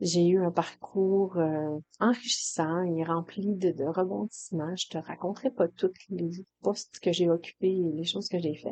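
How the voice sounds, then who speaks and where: Here a woman's voice sits fairly low, with a dark, mellow tone and ordinary pitch variation. She goes at a fairly slow pace, and the sound is dry and close with no echo. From Quebec, Saguenay-Lac-Saint-Jean. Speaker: hairdresser and coach, podcast host. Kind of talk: personal podcast monologue. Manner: casual, hesitant with fillers and repetitions.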